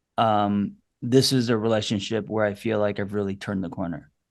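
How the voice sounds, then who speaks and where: A plain, everyday voice from a man, fairly low in pitch, at a moderate pace with fairly even intonation, over a quiet background. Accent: American. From New York. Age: 50s. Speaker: therapist. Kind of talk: casual chat.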